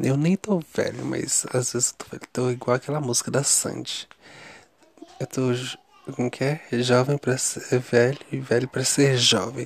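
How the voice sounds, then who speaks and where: The voice moves at a fairly slow pace with fairly even intonation. The sound is dry and close with no echo, though noticeable background noise is present. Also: man, medium pitch for a man. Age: 30s. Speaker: video diarist. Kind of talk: personal video diary. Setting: lying on mattress in bedroom. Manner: chatty, casual.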